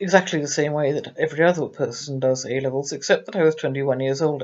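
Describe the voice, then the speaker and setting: A woman with an English accent at a moderate pace. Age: 60s. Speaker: abuse survivor. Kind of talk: testimony. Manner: halting.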